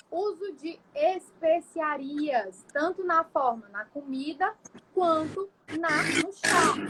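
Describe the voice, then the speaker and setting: Noticeable background noise behind very slow speech with ordinary pitch variation. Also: woman, extremely high pitch for a woman. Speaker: nutritionist. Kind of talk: livestream lecture. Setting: live stream.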